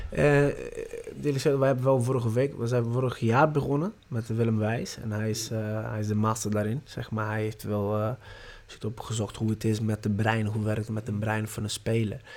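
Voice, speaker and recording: This man speaks in a Portuguese accent at a moderate pace. His intonation stays fairly even. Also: medium pitch for a man. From Brazil. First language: Portuguese (speaking Dutch). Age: 30s. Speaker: football youth coach. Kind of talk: interview. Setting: training ground. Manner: halting.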